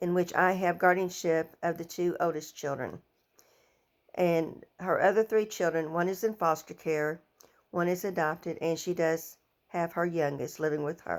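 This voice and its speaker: At a moderate pace, a woman with an American accent speaks at a fairly low pitch with fairly even intonation. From southern Illinois and Missouri Bootheel / Arkansas. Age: 60s. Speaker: education student and former teaching aide. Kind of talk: personal introduction, self-presentation. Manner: halting, some self-corrections.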